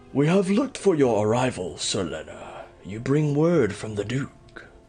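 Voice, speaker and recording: Using a put-on character voice, a man speaks at a moderate pace in a medium pitch with very wide pitch swings. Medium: video game. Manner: formal, measured.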